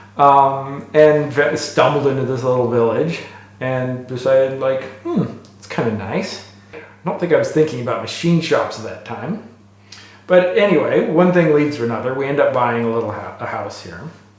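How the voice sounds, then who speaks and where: A man with an American accent and a fairly high pitch speaks at a moderate pace with lively intonation and big swings in loudness, amid noticeable background noise and audible room echo. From United States. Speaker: engineer and machinist. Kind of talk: interview. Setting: machine shop.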